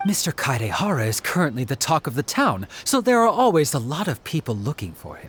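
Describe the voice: A man does a put-on character voice at a medium pitch, fairly quick and fairly bright with a slightly husky edge and very wide pitch swings.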